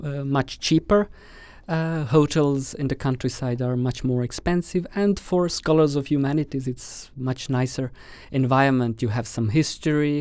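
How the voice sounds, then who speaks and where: On a very clean recording with a silent background, a man with an Estonian accent speaks at a fairly slow pace, his fairly high pitch showing ordinary variation. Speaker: doctoral candidate. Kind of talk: casual interview.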